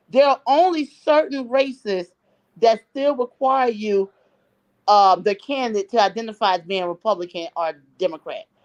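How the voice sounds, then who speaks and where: A woman with an ordinary speaking voice and a fairly high pitch speaks at a moderate pace with lively intonation, in a dry, close sound with no echo. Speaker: political commentator guest. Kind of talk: talk show interview.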